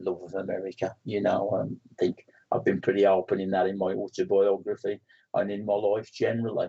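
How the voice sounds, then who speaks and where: A man speaks with a West Midlands accent. His pace is fairly quick. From West Midlands, England. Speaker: spiritualist medium and author. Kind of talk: interview. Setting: studio.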